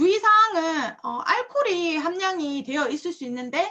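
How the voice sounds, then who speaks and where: At a moderate pace, a woman uses a raised, projected voice with a bright, sharp tone and very wide pitch swings. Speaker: product presenter. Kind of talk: product lecture. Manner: halting, many fillers and restarts.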